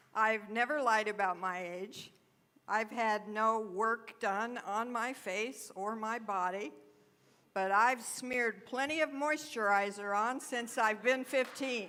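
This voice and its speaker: A woman's fairly high, bright, sharp voice at a very slow pace. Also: ordinary pitch variation. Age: 70s. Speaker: guest speaker at spiritual center. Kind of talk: spiritual talk.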